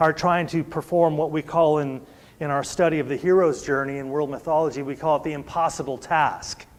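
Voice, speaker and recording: A man speaks in an ordinary speaking voice at a fairly high pitch. His pace is fairly quick and his intonation fairly even. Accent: American. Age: 60s. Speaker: preacher. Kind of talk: sermon. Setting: church service.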